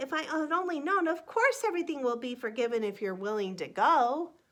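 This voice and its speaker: Speaking at a fairly quick pace in a put-on character voice, a woman uses a high pitch with very wide pitch swings. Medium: read story.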